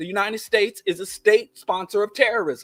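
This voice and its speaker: A man with a Kansas City accent talks in a high, animated voice. The recording is dry and close with no echo. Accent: Kansas City twang. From US Midwest, Kansas City. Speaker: podcast host. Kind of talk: political commentary monologue; casual chat.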